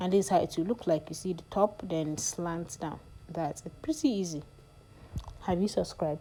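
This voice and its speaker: With a non-native accent, a woman speaks at a moderate pace with a fairly low pitch, a dark, mellow tone and ordinary pitch variation. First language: not English. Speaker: sewing tutorial youtuber. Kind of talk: tutorial. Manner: casual, hesitant with fillers.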